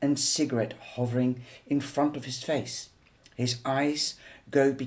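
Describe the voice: This is a plain reading aloud with fairly even intonation.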